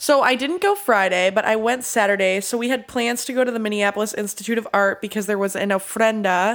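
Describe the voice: A nasal woman's voice at medium pitch, with ordinary pitch variation and a fairly quick pace.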